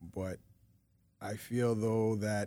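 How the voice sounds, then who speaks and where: A man talks at a very slow pace. His voice is fairly low in pitch, with a dark, mellow tone. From Toronto, Canada (Rexdale), Ghanaian descent. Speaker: rapper and producer. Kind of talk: casual interview chat.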